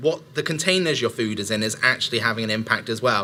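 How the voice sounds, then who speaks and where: This man speaks with a West Country accent. His tone is bright and sharp. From Somerset, England. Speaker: speaker. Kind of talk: talk to a live audience. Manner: hesitant, many fillers.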